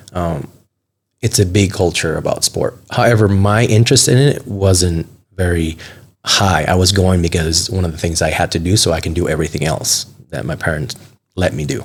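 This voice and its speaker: Somewhat breathy speech at a moderate pace. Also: man, very deep, low pitch for a man, ordinary pitch variation. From Venezuela. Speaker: CrossFit event organizer. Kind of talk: casual interview.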